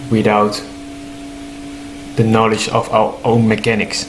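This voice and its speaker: Through noticeable background noise and audible room echo, a man with a non-native accent speaks at a fairly low pitch with ordinary pitch variation. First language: not English. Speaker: human design teacher. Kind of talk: informal explanatory talk. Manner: halting, with fillers.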